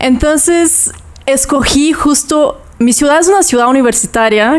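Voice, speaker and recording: A woman with a Brazilian accent, at a fairly slow pace and with ordinary pitch variation. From southern Brazil (Toledo, Paraná). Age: 20s. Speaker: yoga teacher. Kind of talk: casual interview chat.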